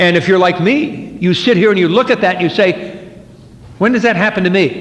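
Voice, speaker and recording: Amid noticeable background noise and audible room echo, a man with an American accent speaks at a high pitch and moderate pace, with ordinary pitch variation. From New Jersey, US. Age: 50s. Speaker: recovering alcoholic speaker. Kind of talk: twelve-step speaker talk. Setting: meeting hall with audience. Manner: conversational, with repetitions and false starts.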